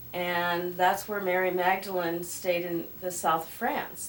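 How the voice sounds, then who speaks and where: A woman speaks fairly slowly with a fairly low pitch. Noticeable background noise runs under her voice. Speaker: crystal skull keeper. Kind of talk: interview answer.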